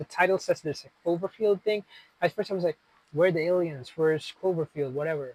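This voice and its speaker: A man has a plain, everyday voice, fairly high in pitch, with fairly even intonation. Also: dry, close sound with no echo. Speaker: film vlogger. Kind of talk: casual monologue. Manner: casual, chatty.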